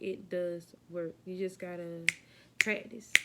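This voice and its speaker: A woman speaks at a very slow pace. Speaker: vlogger, aspiring flight attendant. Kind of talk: casual vlog chat.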